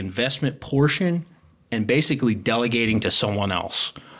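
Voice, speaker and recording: On a very clean recording with a silent background, a man speaks at a moderate pace. His pitch is medium, with ordinary variation. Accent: Philadelphia. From Philadelphia. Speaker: wealth advisor. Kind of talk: interview about retirement planning.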